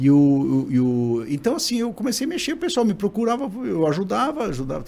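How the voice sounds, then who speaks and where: A man speaks with very wide swings in pitch. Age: 60s. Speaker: digital scientist, former professor. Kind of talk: podcast interview.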